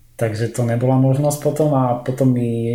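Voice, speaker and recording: Through noticeable background noise and audible room echo, a man of medium pitch speaks with monotone, flat intonation. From Slovakia. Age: 30s. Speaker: visual effects compositor. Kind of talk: casual interview chat. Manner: halting, many fillers.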